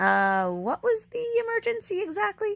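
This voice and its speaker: In a put-on character voice, squeaky and extremely high-pitched, the speaker goes at a moderate pace. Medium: read story. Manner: deadpan.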